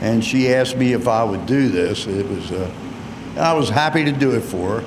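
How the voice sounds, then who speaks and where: With an American accent, a man speaks at a moderate pace and medium pitch, using ordinary pitch variation, with audible room echo and noticeable background noise. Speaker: retired race car driver. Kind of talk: PA interview at race track.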